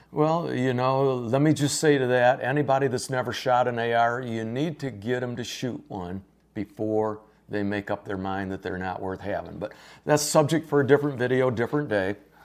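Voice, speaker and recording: In a normal speaking voice, a man talks at a moderate pace and medium pitch on a very clean recording with a silent background. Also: ordinary pitch variation. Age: 60s. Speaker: gun store staff / firearms video host. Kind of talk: casual instructional chat.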